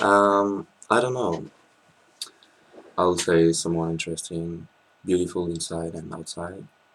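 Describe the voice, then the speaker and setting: Speaking fairly slowly with a French accent, a man uses a very deep, low pitch, a bright, sharp tone, and fairly even intonation. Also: long, frequent pauses, big swings in loudness. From France. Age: 20s. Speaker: law student. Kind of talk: interview. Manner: hesitant, many fillers.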